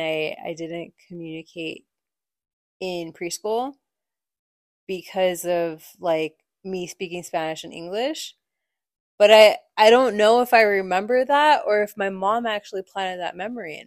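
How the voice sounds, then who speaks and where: A woman with a plain, everyday voice speaks at medium pitch and a fairly slow pace, with ordinary pitch variation and big swings in loudness. The recording is very clean, with a silent background. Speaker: podcast host.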